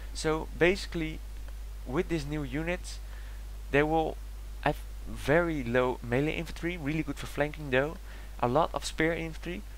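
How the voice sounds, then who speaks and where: A man with a Dutch accent talks at a moderate pace, pausing long and often. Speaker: gaming YouTuber. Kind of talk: video game commentary. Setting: home recording, basic equipment.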